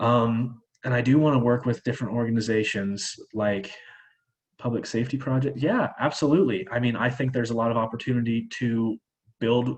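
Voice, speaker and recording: The speaker has a Midwestern US accent. The pace is fairly quick. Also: man, medium pitch for a man. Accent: US Midwest. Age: 20s. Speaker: charity fundraiser. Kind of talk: presentation with Q&A. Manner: fast; animated.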